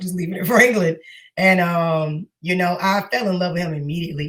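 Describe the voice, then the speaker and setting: Speaking with an American accent at a fairly quick pace, a woman has a somewhat breathy, fairly low voice with ordinary pitch variation. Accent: New York, comes out when deep. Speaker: singer and teacher. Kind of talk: interview.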